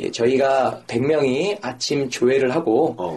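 Noticeable background noise runs under this recording. A man speaks in a fairly high pitch. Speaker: guest telling his own stories. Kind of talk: casual chat.

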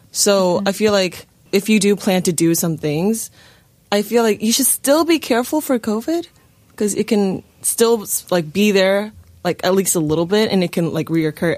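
A woman speaks at a moderate pace in a normal speaking voice, her pitch medium. Her intonation is lively, and her loudness stays very even. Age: 20s. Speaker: actor. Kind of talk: casual chat.

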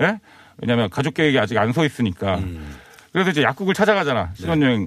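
His pitch swings very widely around a medium level as this man talks. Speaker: comedian. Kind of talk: casual chat.

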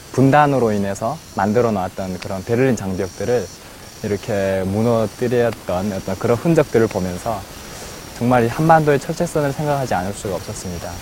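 A man speaks at a moderate pace with lively intonation and a medium pitch. Background noise is noticeable. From North Korea. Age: 20s. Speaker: North Korean defector, university student. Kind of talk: personal testimony.

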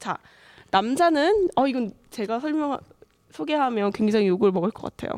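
Her pitch is fairly high and her intonation lively. The woman keeps a moderate tempo. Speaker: podcast host. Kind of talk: casual chat.

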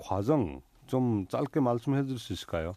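Fairly slow speech from a man with a dark, mellow tone and very wide pitch swings, against a quiet background. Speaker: radio host. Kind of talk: radio show hosting and interviews. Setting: studio.

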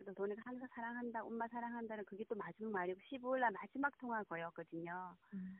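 A woman's fairly high voice, very fast with hardly any pauses and ordinary pitch variation. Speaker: bereaved mother. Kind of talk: phone interview. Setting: phone call.

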